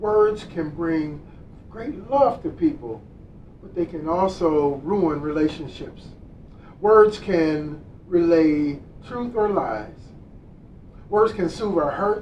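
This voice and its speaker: A man talking at a very slow pace amid noticeable background noise. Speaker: minister giving a Sunday service talk. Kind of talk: sermon / spiritual lesson delivered to an online congregation. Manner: calm, warm, guiding a prayer and meditation.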